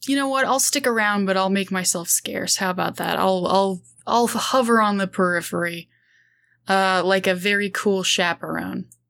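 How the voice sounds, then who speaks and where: In a normal speaking voice, a woman talks at a moderate pace in a medium pitch with ordinary pitch variation and very even loudness, on a very clean recording with a silent background. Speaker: freelance writer and game player. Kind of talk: actual play roleplaying session.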